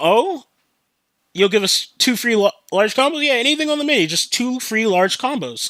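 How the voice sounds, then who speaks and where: A man projects a raised voice with a bright, sharp tone and very wide pitch swings at a moderate pace, in a very clean recording with a silent background. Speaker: podcast host; customer service worker. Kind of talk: casual podcast talk. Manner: casual, profane.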